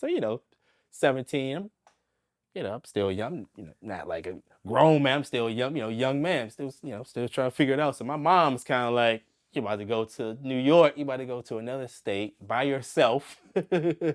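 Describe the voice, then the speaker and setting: In a normal speaking voice at medium pitch, a man talks at a moderate pace with ordinary pitch variation and big swings in loudness, the sound dry and close with no echo. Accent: American. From Southeast Washington, D.C. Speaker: jazz saxophonist. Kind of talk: oral history interview answer. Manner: casual, conversational.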